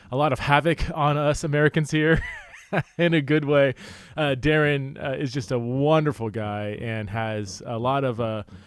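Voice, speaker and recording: The voice moves at a moderate pace with ordinary pitch variation, and there is noticeable background noise. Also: man, fairly high pitch for a man. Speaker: podcast host. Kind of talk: podcast intro. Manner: upbeat.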